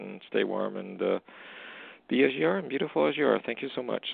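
Talking at a very fast pace, a man shows big swings in loudness. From Canada. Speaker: caller seeking a reading. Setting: phone call.

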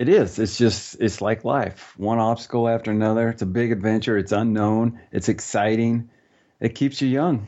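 A man's plain, everyday voice at a moderate pace and medium pitch. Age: 50s. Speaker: ninja warrior competitor. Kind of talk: interview.

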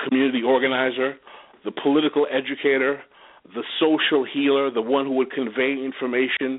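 A man talks at a fairly quick pace and a medium pitch. He has an ordinary speaking voice. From New York City, Haitian family. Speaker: political commentator. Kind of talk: radio interview. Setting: internet radio.

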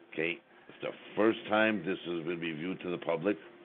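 A man with a very deep, low pitch and ordinary pitch variation talks at a moderate pace over noticeable background noise. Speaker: radio host. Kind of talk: live radio show.

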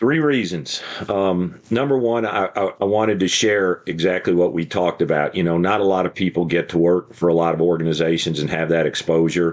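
Talking at a fairly quick pace with hardly any pauses, a man with a very deep, low voice and an American accent keeps his loudness very even and his pitch variation ordinary over noticeable background noise. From New York State, Hudson Valley; Texas since 1976. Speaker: fire chief and author. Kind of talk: interview.

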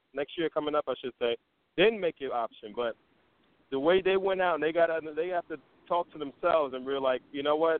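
Using an unremarkable speaking voice, a man talks at a fairly quick pace with fairly high pitch and ordinary pitch variation. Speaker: caller.

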